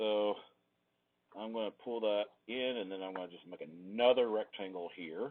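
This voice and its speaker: A man at a moderate pace, fairly even in intonation, with big swings in loudness and long, frequent pauses. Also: fairly low pitch for a man. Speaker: design teacher. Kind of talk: tutorial. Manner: casual, thinking aloud.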